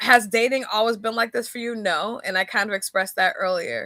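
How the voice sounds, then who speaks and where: A woman speaks with a bright, sharp tone and ordinary pitch variation, heard dry and close with no echo in a very clean recording with a silent background. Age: 40s. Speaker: podcast host. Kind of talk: casual monologue.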